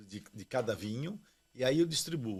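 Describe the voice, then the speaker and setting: The speaker is a man with a medium-pitched voice. His intonation is lively. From Brazil, São Paulo. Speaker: winemaker. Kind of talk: casual interview chat.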